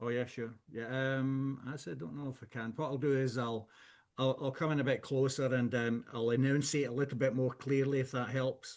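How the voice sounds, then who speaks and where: A man talks fairly quickly with a strong Scottish accent. His pitch sits in the middle of the male range, and his intonation stays fairly even. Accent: thick Scottish. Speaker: whisky blender. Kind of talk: product presentation. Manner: hesitant, many fillers.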